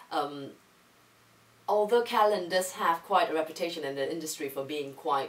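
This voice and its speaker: A woman's voice with ordinary pitch variation and noticeable background noise. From Singapore. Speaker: English teacher and teacher trainer. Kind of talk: interview. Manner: hesitant, many fillers.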